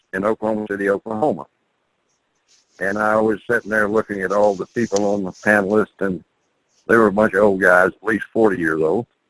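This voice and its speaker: A man's bright, sharp voice at a fairly low pitch, dry and close with no echo. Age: 70s. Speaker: botanist. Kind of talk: talk to camera.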